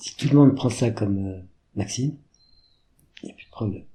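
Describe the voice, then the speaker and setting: Dark, mellow tone from a man, somewhat breathy. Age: 70s. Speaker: fashion designer. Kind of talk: interview. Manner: animated.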